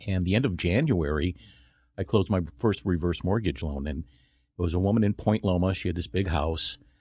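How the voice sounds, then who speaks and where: A man's very deep, low voice with an American accent, dark, mellow and somewhat breathy, at a fairly quick pace with ordinary pitch variation, on a very clean recording with a silent background. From Chicago, US Midwest. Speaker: reverse mortgage professional. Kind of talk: radio interview.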